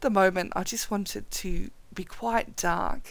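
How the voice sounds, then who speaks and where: A woman speaks quietly with lively intonation. The recording is very clean, with a silent background. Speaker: photography editing tutor. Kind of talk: tutorial. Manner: quiet and subdued.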